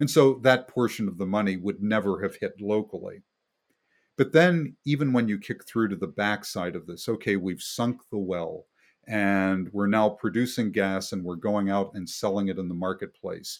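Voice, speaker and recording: A man talks in a normal speaking voice with an American accent. His pace is moderate, his pitch variation ordinary, and the recording very clean with a silent background. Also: fairly low pitch for a man. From West Virginia. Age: 60s. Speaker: economic researcher. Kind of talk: interview.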